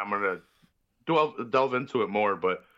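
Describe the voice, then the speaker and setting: A man with a Chicago accent and ordinary pitch variation. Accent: Chicago American. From Chicago, Mexican-American family. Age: 20s. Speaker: wrestling podcaster. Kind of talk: casual chat. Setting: online call.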